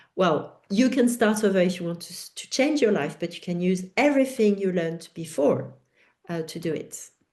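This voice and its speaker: A woman speaks with a French accent. Her pitch is medium and her pace moderate. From France. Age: 50s. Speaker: educator and author. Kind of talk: webinar Q&A. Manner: halting.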